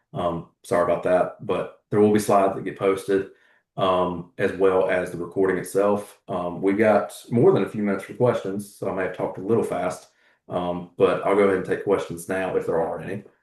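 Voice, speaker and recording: With a Southern US accent, the words come out at a fairly quick pace. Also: man. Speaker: agricultural economist. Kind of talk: webinar presentation. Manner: fast.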